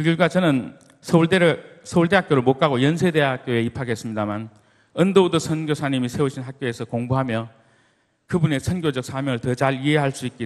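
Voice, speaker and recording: A man's fairly high pitch and a normal speaking voice, ordinary pitch variation, fairly quick pace, quiet background. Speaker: church deacon, business owner. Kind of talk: church testimony talk. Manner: formal.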